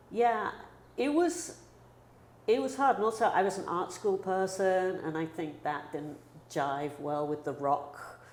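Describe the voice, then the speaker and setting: A woman speaks with a London accent. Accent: British English, London. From London, England. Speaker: photographer. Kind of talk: interview. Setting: photo studio. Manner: casual, animated.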